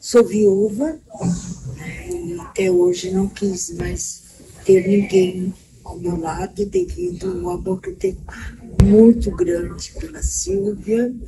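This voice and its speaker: The speech moves at a very slow pace, with long, frequent pauses and big swings in loudness. Noticeable background noise is present throughout. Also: woman. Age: 70s. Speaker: interviewee, vice-president of an LGBT elders association. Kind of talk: interview testimony. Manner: halting.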